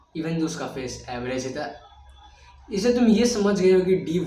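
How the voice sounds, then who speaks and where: The intonation is lively, with noticeable background noise and audible room echo. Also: man. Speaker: self-improvement youtuber. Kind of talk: tutorial. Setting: recorded video.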